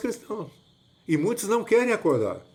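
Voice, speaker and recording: Over a silent background, a man comes through on a very clean recording. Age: 70s. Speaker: evangelist. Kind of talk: sermon-like monologue. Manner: repetitive, halting.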